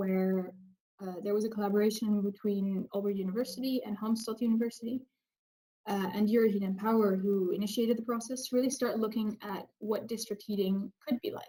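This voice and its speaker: A woman talks at a fairly quick pace in a somewhat breathy, dark, mellow tone, her pitch fairly high and her intonation fairly even. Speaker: researcher presenting project results. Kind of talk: webinar presentation. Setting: online webinar.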